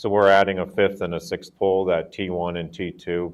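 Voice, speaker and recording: A man speaks in a very deep, low pitch with a monotone, flat intonation. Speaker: lighting company technical expert. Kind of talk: presentation at public meeting. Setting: community forum with audience. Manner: loud.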